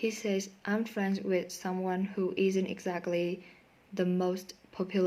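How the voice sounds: The clip is read in a natural reading voice.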